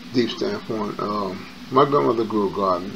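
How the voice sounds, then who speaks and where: Over noticeable background noise and audible room echo, a man with an American accent speaks at a fairly low pitch. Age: 50s. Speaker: YouTuber. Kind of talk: personal storytelling monologue. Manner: casual, with many fillers.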